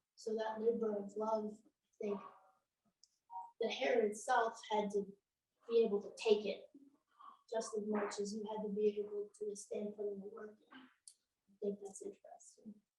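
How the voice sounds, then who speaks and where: A woman speaks quietly and at a fairly slow pace, her somewhat breathy voice dark and mellow, monotone and flat, broken by long, frequent pauses. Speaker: audience member. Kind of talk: Q&A discussion.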